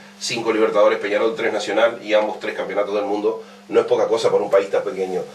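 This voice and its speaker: A man talks at a very fast pace amid audible room echo and noticeable background noise. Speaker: radio host. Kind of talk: radio interview. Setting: radio studio.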